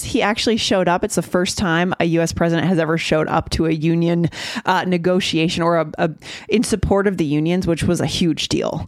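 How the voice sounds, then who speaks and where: This woman talks at a very fast pace in a fairly low pitch, with ordinary pitch variation and very even loudness. Noticeable background noise runs under her voice. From USA. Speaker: English-learning podcast host. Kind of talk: casual chat.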